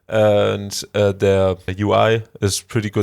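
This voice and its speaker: A man speaks with monotone, flat intonation. The recording is very clean, with a silent background and a dry, close sound with no echo. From Germany. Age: 20s. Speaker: music hobbyist tutorial youtuber. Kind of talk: tutorial. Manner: halting, many filler words.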